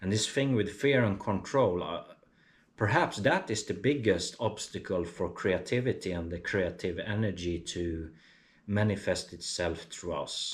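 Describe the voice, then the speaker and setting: A man with a non-native accent, fairly low-pitched and somewhat breathy, at a fairly slow pace with ordinary pitch variation. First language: not English. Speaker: artist and vlogger. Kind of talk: casual vlog monologue. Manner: halting, many fillers.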